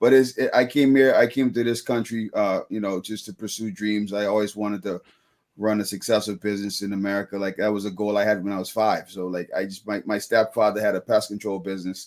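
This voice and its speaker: A man with a fairly low pitch and a strong Bahamian accent, very fast in pace, with fairly even intonation. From Bahamas (Freeport). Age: 30s. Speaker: business owner. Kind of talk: interview. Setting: live show.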